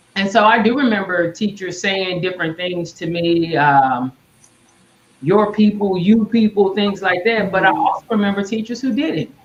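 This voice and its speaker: Against noticeable background noise, a woman with an American accent talks at a moderate pace, her medium pitch showing ordinary variation. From Tulsa, Oklahoma. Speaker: leadership coach. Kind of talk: casual chat.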